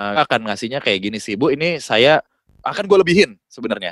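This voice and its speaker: A man speaks fairly quickly, his pitch swinging very widely, in a dry, close recording with no echo. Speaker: voice-over talent. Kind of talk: casual chat. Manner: animated.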